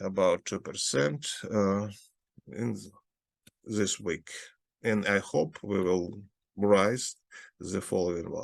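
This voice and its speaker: A man in a Russian accent, fairly low in pitch and fairly slow, with ordinary pitch variation. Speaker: investment advisor. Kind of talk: market analysis talk. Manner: halting.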